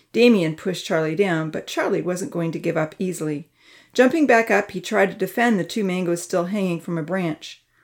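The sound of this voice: The reading is delivered in an unforced voice. Pitch moves up and down normally.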